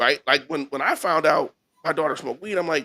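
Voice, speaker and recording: A man speaks in a raised, projected voice with a bright, sharp tone and lively intonation. His pace is very fast, and the sound is dry and close with no echo. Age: 40s. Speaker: podcast host. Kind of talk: casual chat.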